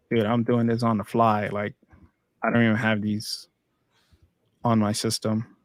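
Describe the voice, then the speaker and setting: A man talks in a medium pitch with monotone, flat intonation. He leaves long, frequent pauses. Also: moderate pace, very clean recording, silent background. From El Salvador. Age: 30s. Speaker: UI/UX designer. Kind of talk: casual livestream tutorial chat.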